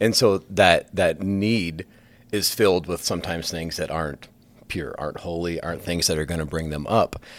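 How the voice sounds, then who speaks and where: In a Midwestern American accent, a man with a very deep, low pitch speaks at a moderate pace with ordinary pitch variation. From northwest Iowa. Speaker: school counselor. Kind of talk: casual chat.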